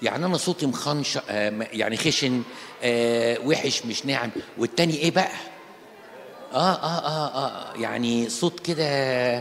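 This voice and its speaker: A man with an Egyptian accent speaks at a fairly slow pace with lively intonation. Noticeable background noise is present. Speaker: Coptic Orthodox priest. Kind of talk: sermon. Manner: animated, conversational.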